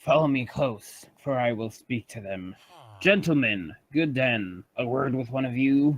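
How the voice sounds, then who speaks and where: A man puts on a character voice. It sits at medium pitch and moves at a fairly slow pace. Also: lively intonation. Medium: machinima.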